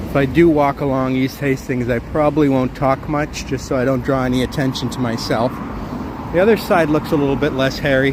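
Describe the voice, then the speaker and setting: Over noticeable background noise, a man speaks at a fairly quick pace with fairly even intonation. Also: medium pitch for a man. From southwestern Ontario, Canada. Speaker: live-stream walking vlogger. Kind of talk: live stream walking vlog, casual chat. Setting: outdoors walking on city streets.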